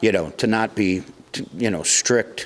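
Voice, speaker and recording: A man's fairly low voice in an American accent, fairly even in intonation, against noticeable background noise. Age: 60s. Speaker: music venue doorman and musician. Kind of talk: casual interview.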